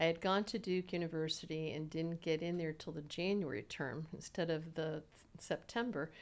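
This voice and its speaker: Speaking at a moderate pace with an American accent, a woman with an unremarkable speaking voice keeps a fairly low pitch and ordinary pitch variation in a very clean recording with a silent background. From Southwest Florida, Naples. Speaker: mediator and lawyer. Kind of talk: interview.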